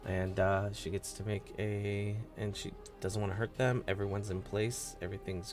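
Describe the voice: The recording consists of plain reading aloud.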